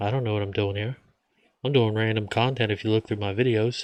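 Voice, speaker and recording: In an American accent, a man speaks with a fairly low voice. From United States. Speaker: vlogger. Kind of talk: casual monologue.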